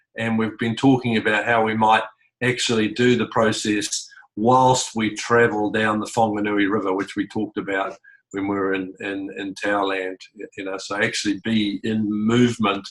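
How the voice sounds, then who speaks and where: In a New Zealand accent, a man talks at a moderate pace in a fairly low pitch with monotone, flat intonation. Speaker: community facilitator. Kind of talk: online group meeting. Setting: video call. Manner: halting.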